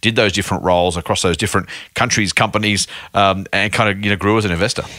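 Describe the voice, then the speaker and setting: Speaking at a very fast pace, a man with an Australian accent uses a fairly low-pitched voice with a bright, sharp tone. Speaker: podcast host and investment officer. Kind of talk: podcast interview. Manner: casual, chatty with filler words.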